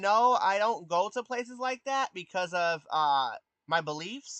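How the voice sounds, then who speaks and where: A man's bright, sharp tone with very wide pitch swings, in a dry, close sound with no echo. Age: 20s. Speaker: streamer. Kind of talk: casual chat. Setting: live stream from PC. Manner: hesitant, many fillers.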